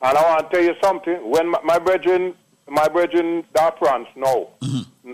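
He speaks at a moderate pace with a Jamaican accent. This man's pitch varies in an ordinary way. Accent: Jamaican Patois. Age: 60s. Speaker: caller. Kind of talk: testimony.

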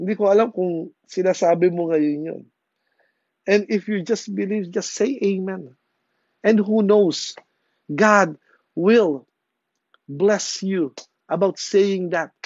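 With long, frequent pauses, the talking unfolds very slowly. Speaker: preacher. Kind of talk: sermon. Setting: church. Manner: animated, exhortative, with call-and-response prompts.

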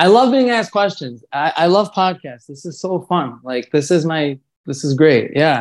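There are big swings in loudness as a man with an American accent speaks at a moderate pace with lively intonation. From Brooklyn, New York (Kensington). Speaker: singer and musician. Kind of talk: casual chat.

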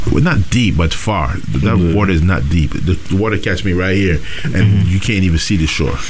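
Despite noticeable background noise, a man's very deep, low voice stays at a very even loudness, moving at a fairly quick pace with ordinary pitch variation and hardly any pauses. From Dominican heritage. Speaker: radio host. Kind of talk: casual chat. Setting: studio. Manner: animated.

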